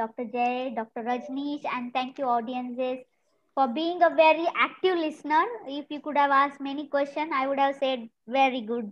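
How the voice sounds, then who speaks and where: Moderate pace and fairly even intonation. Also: woman, high pitch for a woman. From India. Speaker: food technology professor. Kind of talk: panel discussion. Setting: video call. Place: home room. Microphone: webcam.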